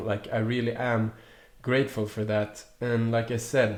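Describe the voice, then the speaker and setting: The speaker is a man with a medium pitch. His delivery is monotone and flat at a very slow pace. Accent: Swedish. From Sweden, Stockholm. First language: Swedish. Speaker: youtuber. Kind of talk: casual vlog chat. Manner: halting, many restarts.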